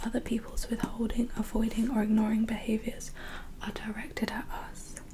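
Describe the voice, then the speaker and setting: At a moderate pace, a woman with a fairly high pitch speaks in a monotone, flat way over noticeable background noise. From England. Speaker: ASMR creator. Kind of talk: self-help book reading. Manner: soft-spoken.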